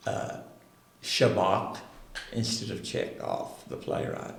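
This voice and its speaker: A man speaks with a Southern US accent. Music plays in the background. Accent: Southern US (Oklahoma). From Roland, Oklahoma. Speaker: retired speech and drama teacher. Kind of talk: interview answer.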